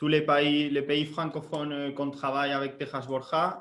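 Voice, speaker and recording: This man talks with a non-native accent. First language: Spanish (speaking French). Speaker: sales area manager. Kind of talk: webinar presentation. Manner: halting, many fillers.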